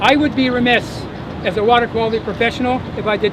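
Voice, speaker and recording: Noticeable background noise beneath a fairly quick pace. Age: 70s. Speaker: water quality professional. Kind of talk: rally speech.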